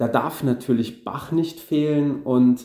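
Here a man talks at a fairly slow pace with ordinary pitch variation. He has an ordinary speaking voice. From Saarland, Germany. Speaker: concert organist. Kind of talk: interview.

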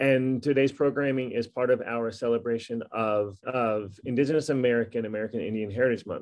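A man's unremarkable speaking voice at a medium pitch, fairly quick in pace and fairly even in intonation. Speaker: school equity administrator, event moderator. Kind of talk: introduction to student Q and A. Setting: video call.

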